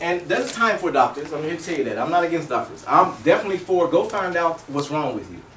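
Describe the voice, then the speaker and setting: Against noticeable background noise and audible room echo, a man with a high pitch talks at a fairly quick pace. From Kentucky. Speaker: health educator. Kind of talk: health expo talk with demonstration. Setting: expo room with audience. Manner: fast.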